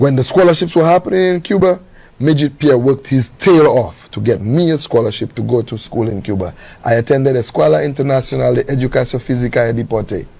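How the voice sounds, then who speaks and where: A man speaks with a Saint Lucian accent and lively intonation. He talks at a very fast pace. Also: medium pitch for a man. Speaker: guest telling his life story. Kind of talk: interview conversation.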